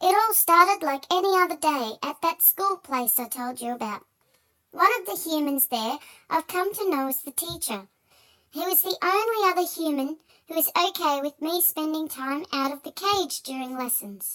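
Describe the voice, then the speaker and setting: Squeaky and high-pitched, this put-on character voice moves at a moderate pace. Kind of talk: children's story narration. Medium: read story. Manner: earnest, storytelling.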